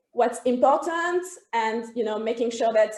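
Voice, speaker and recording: The voice has a dark, mellow tone and a French accent. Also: woman. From France. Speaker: HR consultancy co-founder. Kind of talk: interview. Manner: hesitant, many fillers.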